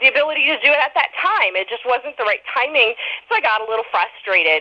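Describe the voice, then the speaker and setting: Noticeable background noise sits behind this raised, projected voice. Its pitch swings very widely. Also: woman. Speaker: author. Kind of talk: interview. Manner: fast.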